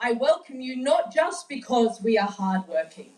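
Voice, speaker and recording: Noticeable background noise behind a woman with lively intonation. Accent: Australian. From Australia. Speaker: activist, coalition coordinator. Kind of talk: speech to audience. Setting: stage with audience.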